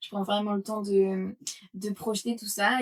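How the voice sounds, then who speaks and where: At a moderate pace, a woman speaks in a somewhat breathy voice at a medium pitch. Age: 20s. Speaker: yoga teacher and entrepreneur. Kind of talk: interview testimony. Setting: podcast interview. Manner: hesitant, many fillers.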